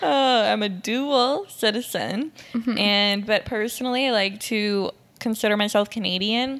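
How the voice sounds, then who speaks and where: In a plain, everyday voice, a woman with a fairly high pitch speaks at a fairly slow pace, with very even loudness and ordinary pitch variation. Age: 20s. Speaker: podcast co-host and photographer. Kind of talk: casual chat.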